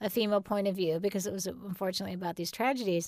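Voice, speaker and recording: Here is a woman with an American accent and an ordinary speaking voice. Her medium pitch follows fairly even intonation. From Southern California. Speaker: screenwriter and TV producer. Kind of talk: interview. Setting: studio.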